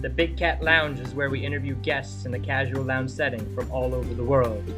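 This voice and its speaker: Over music in the background, a man speaks at a fairly low pitch with very wide pitch swings. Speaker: podcast host. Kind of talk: podcast intro.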